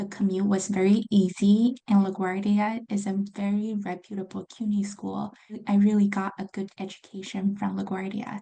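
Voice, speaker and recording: A woman with a Chinese accent, somewhat breathy, at medium pitch and a moderate pace, with a dark, mellow tone and monotone, flat intonation. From China. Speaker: accounting graduate student. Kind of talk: interview.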